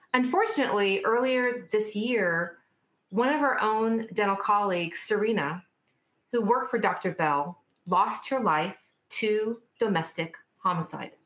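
A woman speaks at a fairly slow pace with a fairly high pitch and lively intonation. Her loudness stays very even, and there is audible room echo. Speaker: dental professional and panel speaker; speaker. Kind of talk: panel discussion. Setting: virtual event. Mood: serious, earnest. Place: home room. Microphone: webcam.

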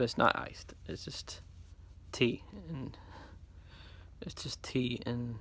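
A man whispers at a moderate pace. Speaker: vlogger. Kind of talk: casual vlog chat. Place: home room. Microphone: phone near.

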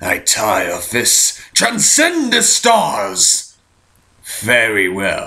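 A man speaks with medium pitch. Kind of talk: villain voice acting. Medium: fan dub. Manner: calm, measured, solemn.

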